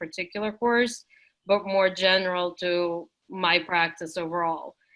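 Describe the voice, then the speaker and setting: Speaking at a moderate pace, a woman uses medium pitch and fairly even intonation. She has a non-native accent. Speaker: teaching and learning center facilitator. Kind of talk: online workshop discussion. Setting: video call.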